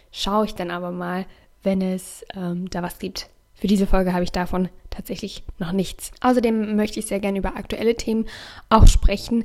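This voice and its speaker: A woman with a plain, everyday voice speaks at a moderate pace and medium pitch, her intonation fairly even but her loudness swinging widely. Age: 20s. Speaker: youtuber and podcaster. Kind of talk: casual solo podcast monologue.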